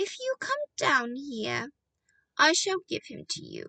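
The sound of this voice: Doing a put-on character voice, a woman sounds raspy and robotic, with an extremely high pitch and a fairly slow pace.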